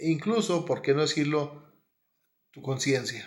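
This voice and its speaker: A man with a northern Mexican accent at a moderate pace. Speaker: spiritual teacher. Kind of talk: monologue.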